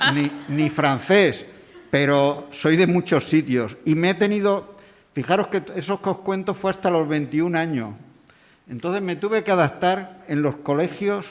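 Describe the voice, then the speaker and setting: Speaking at a fairly slow pace, a man with a high voice shows ordinary pitch variation. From Extremadura, Spain. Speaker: event presenter. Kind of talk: public talk. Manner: halting, with repetitions.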